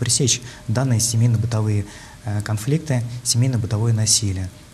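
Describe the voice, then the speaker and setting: Here a man talks with fairly even intonation. Light background noise runs underneath. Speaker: deputy prosecutor. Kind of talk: TV studio interview. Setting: TV studio. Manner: formal; halting. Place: studio. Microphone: lapel.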